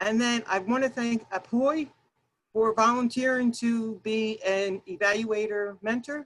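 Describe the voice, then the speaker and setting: A woman talks at a fairly high pitch with ordinary pitch variation. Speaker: workshop presenter. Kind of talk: workshop presentation. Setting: video call. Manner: loud.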